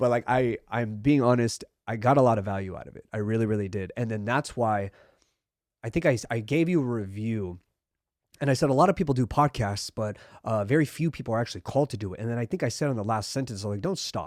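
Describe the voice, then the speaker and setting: On a very clean recording with a silent background, a man at medium pitch talks at a very fast pace with big swings in loudness and ordinary pitch variation. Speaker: podcast host. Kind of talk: interview. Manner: many filler words.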